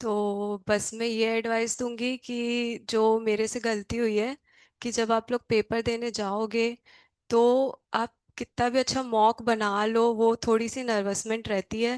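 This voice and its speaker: A woman's fairly high, monotone voice with flat intonation, dry and close with no echo, over a quiet background. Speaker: GATE exam topper. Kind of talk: student guidance talk.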